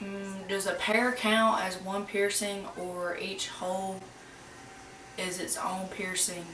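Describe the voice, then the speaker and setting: A woman with an Alabama accent speaks at a very slow pace in a monotone, flat intonation. The room echo is audible, and background noise is noticeable. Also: medium pitch for a woman. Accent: Southern US (Alabama). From US South, rural Alabama. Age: 20s. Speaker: YouTuber. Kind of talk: casual Q&A vlog. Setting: at home. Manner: casual, chatty.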